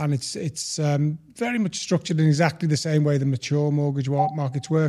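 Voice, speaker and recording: Man with a British accent in a dark, mellow, somewhat breathy tone, at a moderate pace with ordinary pitch variation. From UK. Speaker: mortgage broker. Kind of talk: interview. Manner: halting.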